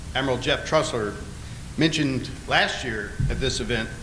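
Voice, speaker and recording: Someone with an Alabama accent talks at a moderate pace amid noticeable background noise and audible room echo. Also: man. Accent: lower Alabama. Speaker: navy admiral. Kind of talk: conference speech. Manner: hesitant, many filler words.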